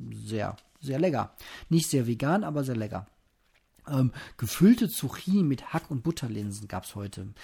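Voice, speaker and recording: A man talks with very wide pitch swings and long, frequent pauses. Music plays in the background. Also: medium pitch for a man. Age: 30s. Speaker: podcaster. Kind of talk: casual solo monologue. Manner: relaxed, unhurried.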